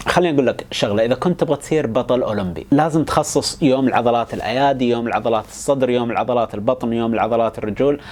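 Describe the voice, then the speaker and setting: Speech races at a very fast pace with hardly any pauses and ordinary pitch variation over noticeable background noise. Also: man. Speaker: educational YouTuber. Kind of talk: explainer monologue. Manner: casual, colloquial.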